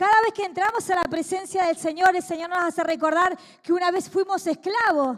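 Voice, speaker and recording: Talking at a fairly quick pace, a woman speaks with an extremely high pitch. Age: 40s. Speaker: evangelist preacher. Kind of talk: sermon.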